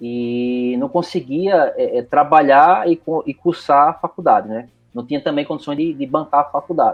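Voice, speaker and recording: With a Recife accent and music in the background, a man talks at a moderate pace with hardly any pauses, his fairly high pitch showing ordinary variation. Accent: Pernambuco (Recife) Brazilian Portuguese. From Recife, northeast Brazil. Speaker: IT professional. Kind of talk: casual interview. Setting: remote call recording.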